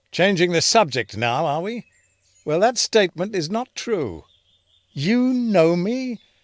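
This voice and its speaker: A man puts on a gruff character voice, speaking at a moderate pace. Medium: audio drama. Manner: gruff, cursing, sardonic.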